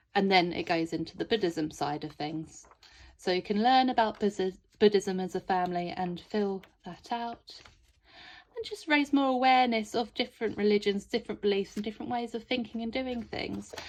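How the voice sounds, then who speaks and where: A woman speaks with a fairly high pitch and lively intonation. Behind her, the background stays quiet. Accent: British. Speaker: homeschool curriculum creator. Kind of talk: product walkthrough. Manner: speech and pronunciation not always clear; casual, chatty with hesitations.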